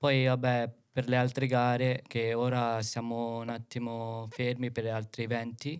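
A man speaks with monotone, flat intonation. The background is quiet. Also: fairly slow pace. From Philippines. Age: 20s. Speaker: dance choreographer; podcast guest. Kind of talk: casual chat. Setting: studio. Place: studio. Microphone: studio mic.

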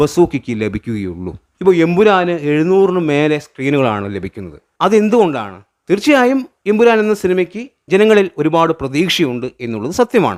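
With a high pitch and very wide pitch swings, a man speaks in a dry, close sound with no echo. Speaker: YouTube film commentator. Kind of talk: solo commentary video.

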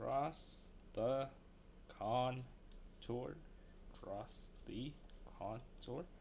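Very slow speech from a man at medium pitch, with ordinary pitch variation and long, frequent pauses. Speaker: streamer learning to draw. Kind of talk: casual live-stream commentary. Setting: home live stream with mic. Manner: rambling, with periods of silence.

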